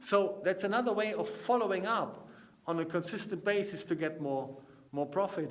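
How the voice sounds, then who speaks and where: Speaking at a high pitch with ordinary pitch variation and a moderate pace, a man with a German accent is heard over noticeable background noise. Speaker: business consultant. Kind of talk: casual vlog talk to camera. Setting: seminar room. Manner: halting.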